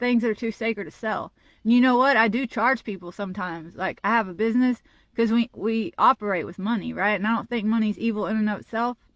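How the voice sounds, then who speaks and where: At a fairly quick pace, a woman speaks in an unremarkable speaking voice, fairly high-pitched with ordinary pitch variation, in a dry, close sound with no echo and a quiet background. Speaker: social media commentator. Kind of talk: impassioned monologue. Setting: outdoors, parking lot.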